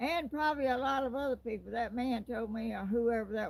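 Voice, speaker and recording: Talking at a fairly quick pace, a woman with a Southern accent uses a fairly high pitch. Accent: Southern, says y'all. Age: 80s+. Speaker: YouTuber. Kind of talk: casual chat.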